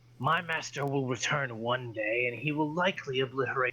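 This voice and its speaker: A man uses a put-on character voice at a medium pitch. He delivers it at a fairly slow pace. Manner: defiant, scornful.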